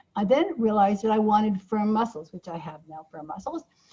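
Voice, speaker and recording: A woman's fairly high, somewhat breathy voice with a dark, mellow tone. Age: 70s. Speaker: change-model author and trainer. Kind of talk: online course teaching. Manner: conversational, informal.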